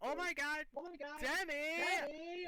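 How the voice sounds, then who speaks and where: The speaker puts on a character voice at a high pitch. Light background noise sits behind it. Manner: excited, squealing.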